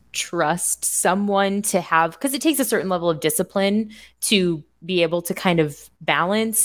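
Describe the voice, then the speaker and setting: A woman speaks with an American accent in an unremarkable speaking voice, her pitch medium and its variation ordinary. The recording is very clean, with a silent background. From Indiana. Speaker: financial coach. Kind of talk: casual chat.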